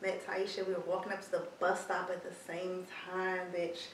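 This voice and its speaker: Audible room echo and noticeable background noise surround a woman of medium pitch who speaks at a fairly slow pace. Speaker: podcast co-host. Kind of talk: casual chat.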